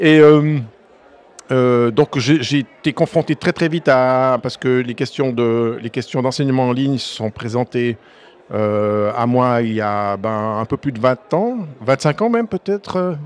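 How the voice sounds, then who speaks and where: This man has a Swiss accent and a medium pitch with ordinary pitch variation. He speaks at a fairly slow pace in a dry, close sound with no echo. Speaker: math teacher, association president. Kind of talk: podcast interview. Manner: hesitant, many fillers and restarts.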